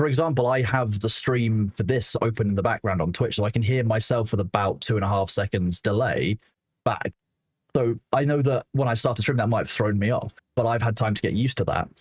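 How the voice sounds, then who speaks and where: Heard on a very clean, dry, close recording with a silent background and no echo, a man with a somewhat breathy voice talks at a fairly quick pace, with very even loudness and ordinary pitch variation. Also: medium pitch for a man. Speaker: streamer and moderator. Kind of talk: casual chat. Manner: fast.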